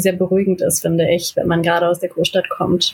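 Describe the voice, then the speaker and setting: In a somewhat breathy voice, a woman talks at a moderate pace and medium pitch with monotone, flat intonation. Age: 20s. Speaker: film university student, podcast co-host. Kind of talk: casual chat.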